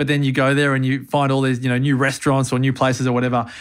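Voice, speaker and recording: The speaker is a man. His accent is Australian. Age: 40s. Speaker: longevity strategist. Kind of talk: interview. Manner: animated.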